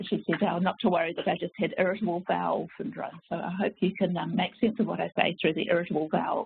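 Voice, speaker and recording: The speech moves at a very fast pace. A slight New Zealand accent is present. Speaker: family physician and professor. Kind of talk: webinar presentation. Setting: online webinar. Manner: halting, many fillers.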